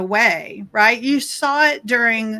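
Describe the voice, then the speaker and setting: Speaking at a very slow pace, a woman has a fairly high pitch and a bright, sharp tone with ordinary pitch variation. The recording is very clean, with a silent background. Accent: American. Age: 60s. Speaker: life coach. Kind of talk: interview.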